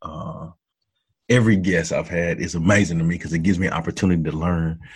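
A man with an American accent talks with ordinary pitch variation on a very clean recording with a silent background. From Texas (Hearne, near Bryan-College Station). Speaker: interviewer and motivational speaker. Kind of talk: interview.

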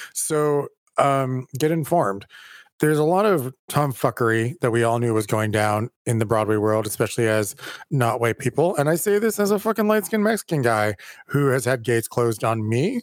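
With an American accent, a man talks at a moderate pace in a medium pitch, making very wide pitch swings at very even loudness, in a very clean recording with a silent background and a dry, close sound with no echo. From California. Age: 40s. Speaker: theater director and podcast co-host. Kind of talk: casual chat.

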